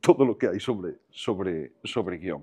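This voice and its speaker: A man's dark, mellow voice with vocal fry swings very widely in pitch over a quiet background. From Costa da Morte, Galicia; raised in A Coruña; Galicia. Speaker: film director, screenwriter and voice actor; voice actor. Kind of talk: casual interview chat. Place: home room. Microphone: lapel.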